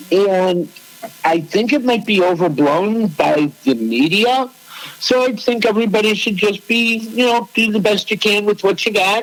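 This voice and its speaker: Amid noticeable background noise, a high-pitched man with a Chicago accent talks at a moderate pace, with ordinary pitch variation and very even loudness. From Chicago, US Midwest. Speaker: podcast co-host. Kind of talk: casual chat.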